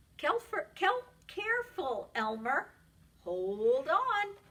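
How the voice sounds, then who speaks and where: A put-on character voice delivered at a very slow pace, its pitch swinging very widely. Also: woman, extremely high pitch for a woman. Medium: read story.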